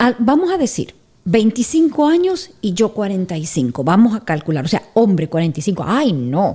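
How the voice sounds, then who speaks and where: Against a quiet background, a woman's dark, mellow and somewhat breathy voice moves through very wide pitch swings. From Argentina. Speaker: podcast co-presenter; podcast presenter. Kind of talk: casual chat. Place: studio. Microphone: studio mic.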